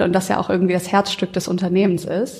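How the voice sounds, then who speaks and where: Background noise is noticeable here. The woman's pitch sits in the medium range. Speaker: marketing working student. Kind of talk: casual chat.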